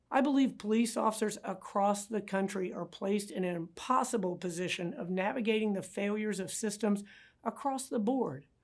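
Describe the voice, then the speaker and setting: In a very clean recording with a silent background, a woman with a plain, everyday voice speaks at a fairly quick pace, her medium pitch showing ordinary variation. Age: 60s. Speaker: city mayor, former police chief. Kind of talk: prepared public address. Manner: formal.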